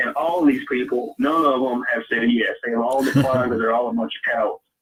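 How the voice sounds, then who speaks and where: At a fairly quick pace, a man speaks with a strong Southern US accent. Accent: deep Southern. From US South, Louisiana. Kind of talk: casual chat. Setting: live stream.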